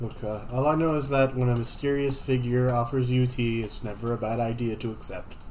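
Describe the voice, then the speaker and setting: A man talks at a fairly quick pace with hardly any pauses and a monotone, flat intonation. Noticeable background noise runs under his voice. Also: medium pitch for a man. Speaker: tabletop game player. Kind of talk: tabletop roleplaying podcast, in-character and banter.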